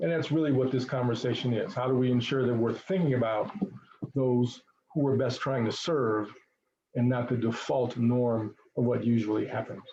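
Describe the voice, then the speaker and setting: A man's medium-pitched, somewhat breathy voice with fairly even intonation and very even loudness. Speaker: equity trainer. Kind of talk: training presentation. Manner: fast.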